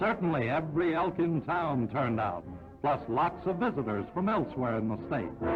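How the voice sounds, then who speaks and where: With music in the background, a man speaks at a moderate pace and fairly high pitch, making very wide pitch swings while his loudness stays very even. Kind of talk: 1940s newsreel narration. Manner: brisk, announcer-style.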